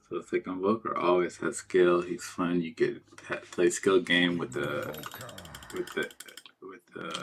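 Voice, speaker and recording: Soft-spoken, a man talks at a moderate pace with long, frequent pauses. His loudness swings widely over noticeable background noise. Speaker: video game streamer. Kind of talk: live gameplay commentary. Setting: at home. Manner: casual, rambling with filler words.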